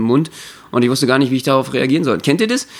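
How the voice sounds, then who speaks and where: A man talks at a medium pitch. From Berlin. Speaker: variety artist and podcast host. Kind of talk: casual chat.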